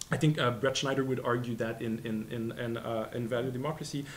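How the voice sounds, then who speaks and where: A man speaks in a Quebec accent. Light background noise sits behind him. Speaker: postdoctoral researcher; presenter. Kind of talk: academic talk. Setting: seminar room with audience. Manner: fast talker. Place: classroom. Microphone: studio mic.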